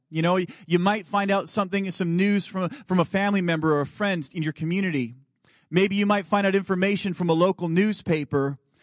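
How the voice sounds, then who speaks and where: A man speaks at a high pitch in an animated tone and at a fairly quick pace. The background is quiet. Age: 30s. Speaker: guest preacher. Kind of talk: sermon. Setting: church.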